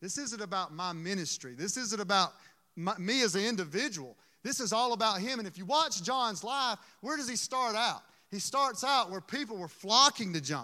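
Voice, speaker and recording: The speaker has a Southern US accent and a raised, projected voice. The tone is bright and sharp, with lively intonation. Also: man, high pitch for a man, moderate pace. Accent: Southern US (Georgia). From US South, Georgia (Dublin). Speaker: preacher. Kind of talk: sermon.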